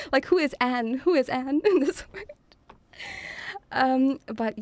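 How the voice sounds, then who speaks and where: Intonation here is lively. The delivery is very slow. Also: woman, dry, close sound with no echo. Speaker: vtuber streamer. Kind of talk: casual livestream chat. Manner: less cheery than scripted debut.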